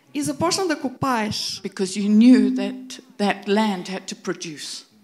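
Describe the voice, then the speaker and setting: Over noticeable background noise, the woman talks at a moderate pace, her intonation lively. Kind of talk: prophetic word. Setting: church.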